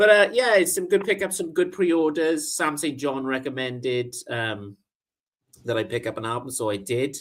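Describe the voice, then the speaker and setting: A man with a British accent talks at a moderate pace and a fairly high pitch. His pitch swings very widely. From Britain. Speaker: vinyl record show co-host. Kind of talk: casual chat. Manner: usually sounds tired.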